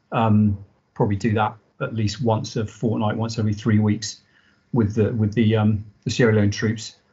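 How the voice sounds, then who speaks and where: A man speaks in a fairly low, somewhat breathy voice at a moderate pace. His intonation is monotone and flat. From southern England, Dorset (army family, moved around). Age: 40s. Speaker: army veteran. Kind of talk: casual interview. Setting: video call.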